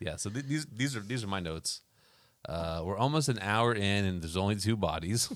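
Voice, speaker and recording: This is a man with an ordinary speaking voice, fairly low in pitch. He talks at a fairly quick pace with lively intonation. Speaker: podcast host. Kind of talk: casual chat. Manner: joking, casual.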